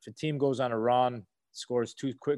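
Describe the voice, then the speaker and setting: A man's plain, everyday voice at medium pitch, dry and close with no echo against a quiet background. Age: 30s. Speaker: former basketball player. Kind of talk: casual interview.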